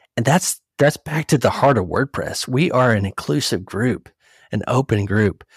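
A man speaks with a somewhat breathy voice and lively intonation. The sound is dry and close, with no echo. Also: medium pitch for a man, moderate pace, very clean recording, silent background. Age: 40s. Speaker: CEO of a professional network. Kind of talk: casual chat.

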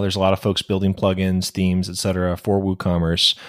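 Recorded dry and close with no echo, a man talks at a fairly quick pace in a plain, everyday voice with fairly low pitch. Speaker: podcast host. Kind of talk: casual interview. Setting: video call.

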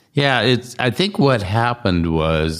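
The pace is fairly slow. A man delivers his words with lively intonation. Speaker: podcast host. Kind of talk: casual interview chat.

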